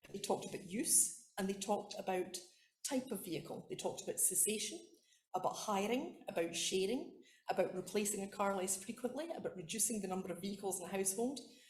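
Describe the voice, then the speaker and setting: At a very fast pace, a woman with a Scottish accent speaks in a somewhat breathy voice at a medium pitch with ordinary pitch variation, and room echo is audible. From Scotland. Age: old. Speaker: academic researcher. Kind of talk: conference talk.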